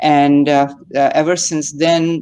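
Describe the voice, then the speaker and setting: Speaking with a Pakistani accent, a woman has a very deep, low pitch and a dark, mellow tone. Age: 60s. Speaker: retail investor. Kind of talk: casual chat. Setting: livestream call. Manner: halting, hesitant.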